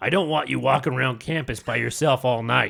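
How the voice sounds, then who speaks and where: A raspy, put-on character voice at a fairly quick pace, with ordinary pitch variation. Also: man. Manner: creepy, protective.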